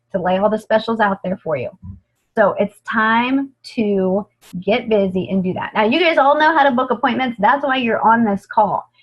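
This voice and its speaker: A woman speaks at a fairly high pitch with lively intonation. Her voice is somewhat breathy. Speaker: sales director. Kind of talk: training talk. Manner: fast; animated.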